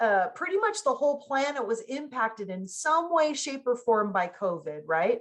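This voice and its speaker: A woman's energetic tone, high in pitch with very wide swings, at a moderate pace over a quiet background. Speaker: business consultant and speaker. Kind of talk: workshop talk. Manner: conversational, energetic.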